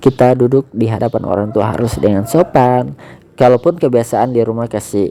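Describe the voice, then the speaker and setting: Soft-spoken delivery moves at a moderate pace. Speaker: amateur radio-style host giving devotional talk. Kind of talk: casual devotional talk. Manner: soft, low volume.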